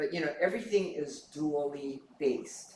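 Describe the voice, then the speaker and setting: A man speaks at a fairly slow pace in a somewhat breathy voice. Audible room echo surrounds him. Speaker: Buddhist minister giving dharma talk. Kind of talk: dharma talk.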